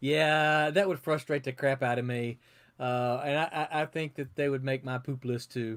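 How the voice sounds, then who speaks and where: A man with a Southern US accent, fairly high pitch, fairly even intonation and moderate pace, on a very clean recording with a silent background. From US South. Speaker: comic book editor and publisher. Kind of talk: casual chat.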